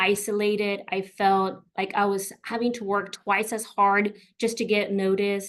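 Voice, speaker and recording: Fairly slow speech from a woman with a fairly high pitch, over a quiet background. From US South, McAllen, Texas. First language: Spanish. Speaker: career coach. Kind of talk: webinar presentation.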